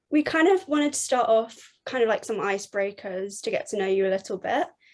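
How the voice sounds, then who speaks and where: The speech comes at a very fast pace. The intonation is lively. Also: woman, fairly high pitch for a woman. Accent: southern English. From England. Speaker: podcast host. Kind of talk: podcast interview.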